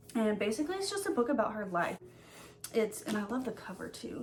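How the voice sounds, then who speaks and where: The woman speaks at a fairly high pitch. Noticeable background noise is present. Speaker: book YouTuber. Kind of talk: casual vlog chat. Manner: fast; hesitant with many fillers.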